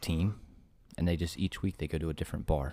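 A dark, mellow tone delivered at a fairly quick pace. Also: man. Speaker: podcast co-host. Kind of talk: casual chat.

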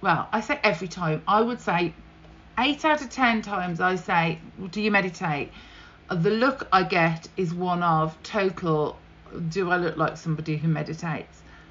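In a British accent, the speaker talks at a moderate pace with an animated, upbeat tone and lively intonation. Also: woman, fairly low pitch for a woman. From UK. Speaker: podcast host and breast cancer survivor. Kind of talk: solo podcast monologue. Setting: home office with fan noise. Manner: animated, upbeat, chatty.

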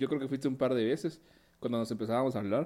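A man's voice of medium pitch with a dark, mellow tone. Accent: Guatemalan. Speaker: podcast co-host. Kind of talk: casual chat.

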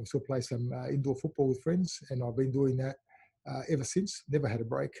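Somewhat breathy, a man with an Australian accent talks at a moderate pace. His medium-pitched voice has a dark, mellow tone and ordinary pitch variation. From Melbourne, Australia. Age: 50s. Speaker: football club association chairman. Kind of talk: interview.

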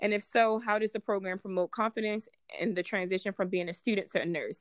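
A normal speaking voice with an American accent and ordinary pitch variation, dry and close with no echo on a very clean recording with a silent background. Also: woman. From Baltimore, Maryland. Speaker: nurse and podcast host. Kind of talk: casual chat.

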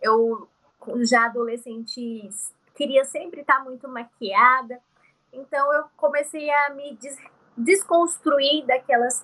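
A woman speaks in a high, bright and sharp voice, raised and projected, with ordinary pitch variation, big swings in loudness, a very slow pace and long, frequent pauses. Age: 30s. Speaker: beauty and fashion influencer, entrepreneur. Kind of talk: interview conversation.

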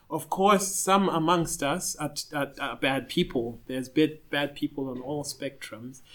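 Using an ordinary speaking voice, a man talks at a moderate pace with hardly any pauses. His pitch is fairly high, with ordinary variation. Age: 30s. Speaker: photographer and videographer. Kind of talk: podcast discussion.

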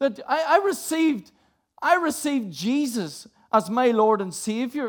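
A man speaks in a Northern Irish accent at an extremely high pitch. His pitch swings very widely at a fairly slow pace. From Northern Ireland. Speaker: preacher. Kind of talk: sermon.

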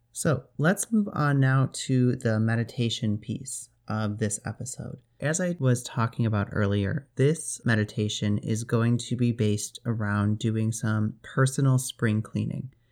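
A man speaks in a plain, everyday voice at medium pitch with ordinary pitch variation. The recording is very clean, with a silent background. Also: fairly slow pace, hardly any pauses. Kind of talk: guided meditation. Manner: slow, soothing, calm and gently instructive, with long pauses between short phrases.

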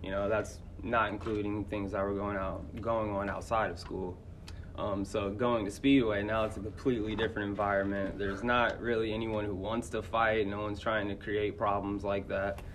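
A man with an American accent, fairly low in pitch, monotone and flat, at a moderate pace amid audible room echo. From Indianapolis, Indiana. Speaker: middle school teacher. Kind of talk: interview, personal life story. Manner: casual, hesitant with many fillers.

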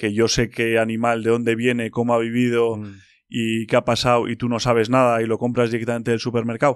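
Very fast, monotone delivery from a man at medium pitch, with flat intonation and hardly any pauses. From Spain, Basque Country (Bilbao). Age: 30s. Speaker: bowhunter and nature content creator. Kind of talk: casual interview chat.

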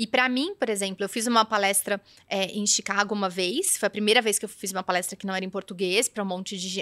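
Speaking very fast with ordinary pitch variation, a woman's bright, sharp voice comes through a very clean recording with a silent background and a dry, close sound with no echo. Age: 40s. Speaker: image and style consultant. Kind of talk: casual chat.

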